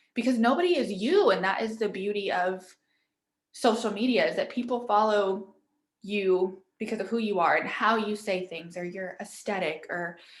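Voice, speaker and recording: Speaking at a fairly quick pace, a woman uses a medium pitch with ordinary variation. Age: 20s. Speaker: social media coach. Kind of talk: online workshop presentation. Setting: online livestream with screen share. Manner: animated.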